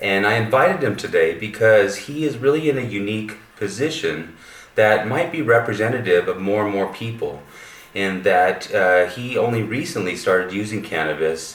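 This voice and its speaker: A man's fairly low voice at a moderate pace, with lively intonation over noticeable background noise. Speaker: medical cannabis researcher. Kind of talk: interviewer.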